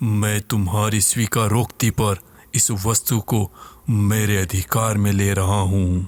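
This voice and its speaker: Using a put-on character voice, a man talks fairly slowly at a fairly low pitch, on a very clean recording with a silent background. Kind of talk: horror audio drama. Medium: read story. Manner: formal, commanding.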